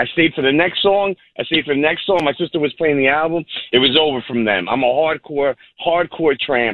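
Pitch varies in an ordinary way as the speech moves fairly quickly. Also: man. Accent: New York. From Long Island, New York. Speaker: caller. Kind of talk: phone-in call.

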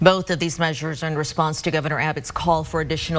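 Against noticeable background noise, a woman speaks in a very deep, low pitch. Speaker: news anchor. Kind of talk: news reading.

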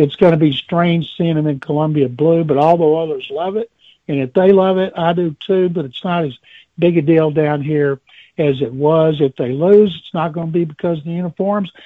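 At a moderate pace, a man speaks with fairly even intonation and a fairly high pitch. He has a plain, everyday voice. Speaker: caller. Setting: phone call.

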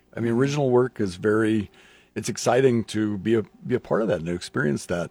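A man's fairly low voice shows ordinary pitch variation in a very clean recording with a silent background. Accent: Midwestern US. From Lincoln, Nebraska. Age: 60s. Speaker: radio host. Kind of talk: casual chat. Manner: halting, many fillers.

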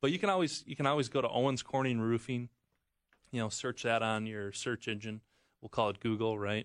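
With an American accent and a plain, everyday voice, a man talks fairly quickly at a medium pitch with ordinary variation, the sound dry and close with no echo. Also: quiet background. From Wisconsin. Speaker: roofing shingle manufacturer rep. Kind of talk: radio talk, product explanation.

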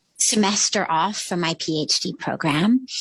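Somewhat breathy and at a very slow pace, a woman speaks with lively intonation in a dry, close sound with no echo. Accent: American. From US West Coast, Los Angeles. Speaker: spiritual teacher and author. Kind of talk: interview, reflective storytelling.

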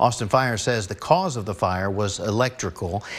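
A man with an ordinary speaking voice talks at medium pitch with lively intonation. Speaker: TV news anchor. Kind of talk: news reading. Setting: TV studio. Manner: measured, formal anchor delivery.

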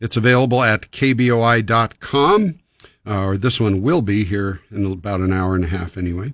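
Here a man has an ordinary speaking voice with an American accent. His pitch is fairly low, his pace moderate, and his pitch variation ordinary. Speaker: radio host. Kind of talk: live radio call-in advice show. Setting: radio studio. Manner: friendly, conversational.

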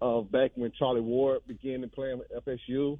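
A man with a plain, everyday voice, medium pitch, and moderate pace. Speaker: caller. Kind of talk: call-in radio. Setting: phone call.

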